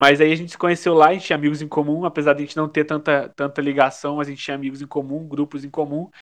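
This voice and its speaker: The talking is very fast. It comes from a man against a quiet background. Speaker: podcast co-host. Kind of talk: casual chat.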